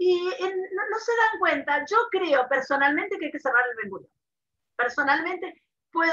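A woman uses a raised, projected voice with very wide pitch swings. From Argentina (Mendoza). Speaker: online advocacy founder, writer. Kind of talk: interview.

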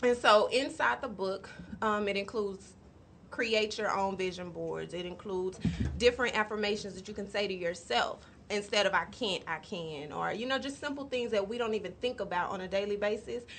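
A woman with an ordinary speaking voice talks at a fairly quick pace and a medium pitch, with ordinary pitch variation. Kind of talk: casual chat. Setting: studio.

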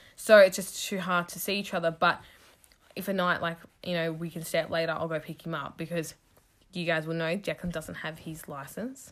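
The recording is very clean, with a silent background. A woman talks at a fairly quick pace in a fairly low pitch, her intonation fairly even. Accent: Australian. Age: 20s. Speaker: podcast host, hairdresser. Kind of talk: casual chat.

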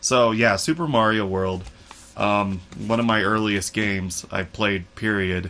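Here is a normal speaking voice with ordinary pitch variation. It moves at a fairly slow pace. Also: man, fairly low pitch for a man. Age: 30s. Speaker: podcast host. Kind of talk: casual chat.

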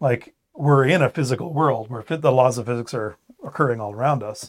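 Recorded very cleanly against a silent background, a man with a normal speaking voice talks at a fairly quick pace and medium pitch, with ordinary pitch variation. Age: 40s. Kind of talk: casual faith discussion. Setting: studio overlooking a cathedral.

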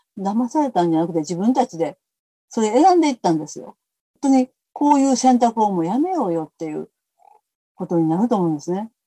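This woman's medium-pitched voice has a dark, mellow tone and lively intonation, moving at a fairly quick pace in a dry, close sound with no echo. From Kobe, Japan (Kansai). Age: 70s. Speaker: peace activist, former schoolteacher. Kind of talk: interview conversation.

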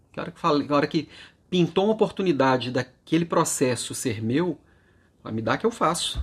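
On a very clean recording with a silent background, a somewhat breathy man speaks with lively intonation. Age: 40s. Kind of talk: daily motivational monologue.

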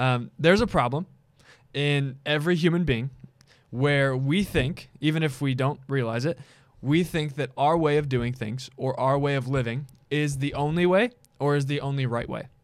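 A man with a normal speaking voice, fairly high pitch, ordinary pitch variation and a moderate pace. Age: younger than co-host. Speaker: podcast host, youth ministry worker. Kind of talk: casual chat.

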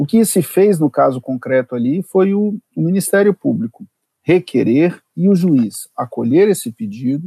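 A man speaks at a fairly slow pace in a high voice with a dark, mellow tone and very wide pitch swings. The sound is dry and close with no echo. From Brasília, Brazil. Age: 40s. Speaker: public prosecutor and law professor. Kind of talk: interview on legal topics. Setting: remote recording.

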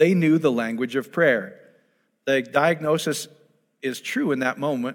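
This man's pitch is fairly high. He talks at a fairly slow pace. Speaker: preacher. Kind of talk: sermon. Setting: church with audience and online viewers.

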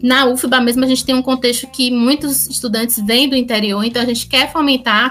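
A woman's high-pitched voice at a fairly quick pace, with fairly even intonation over noticeable background noise. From Bahia, Brazil. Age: 30s. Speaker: student and tech inclusion project coordinator. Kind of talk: podcast panel discussion.

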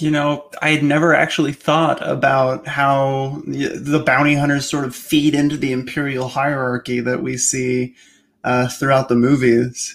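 A man with a fairly high pitch speaks at a fairly slow pace in a monotone, flat intonation. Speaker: editor and podcast host. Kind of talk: interview, author commentary.

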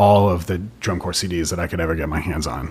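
A man speaks with an American accent. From western Massachusetts. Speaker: legal director and co-founder of a marching band sports company. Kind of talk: casual interview chat. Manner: informal, joking.

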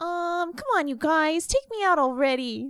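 In a put-on character voice, a woman talks at a fairly slow pace with an extremely high pitch. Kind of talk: casual, rough. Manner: pleading, impatient.

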